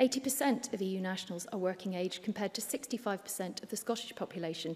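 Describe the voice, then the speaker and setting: Somewhat breathy, a woman with an English accent talks at a very fast pace, her medium pitch carrying ordinary pitch variation. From Wales. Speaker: politician. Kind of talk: parliamentary speech. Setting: parliament chamber. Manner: formal.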